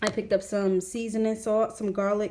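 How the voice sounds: Room echo is audible around the voice. The speech moves at a fairly slow pace with a slightly mellow tone. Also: woman.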